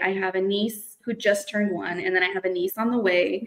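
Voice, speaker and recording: A woman's ordinary speaking voice at a medium pitch, with fairly even intonation. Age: 20s. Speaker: construction business owner. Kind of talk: casual interview.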